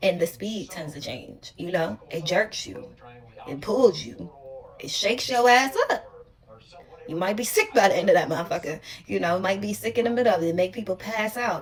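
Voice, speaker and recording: At a moderate pace and medium pitch, a woman speaks against noticeable background noise. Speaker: tarot reader. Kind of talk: tarot reading monologue. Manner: casual, halting.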